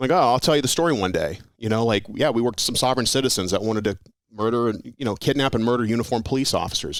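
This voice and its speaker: Speaking very fast, a man of medium pitch talks with an American accent. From Las Vegas, Nevada. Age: 40s. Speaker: retired police officer. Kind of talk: casual chat. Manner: animated.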